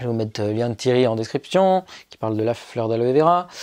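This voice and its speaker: Speaking at a very fast pace, a man has a dark, mellow tone at medium pitch. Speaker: YouTuber. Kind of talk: casual tutorial vlog. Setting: his bedroom. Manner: casual, filler-heavy.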